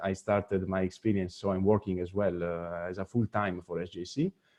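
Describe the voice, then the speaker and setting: A man with an Italian accent talks at a very fast pace in a very deep, low pitch. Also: dry, close sound with no echo. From Italy, near Venice. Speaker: deputy executive director of a space youth organization. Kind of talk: webinar presentation.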